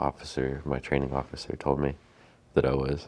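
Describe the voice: A man speaks softly at an extremely low pitch. His pace is moderate. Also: slightly mellow tone.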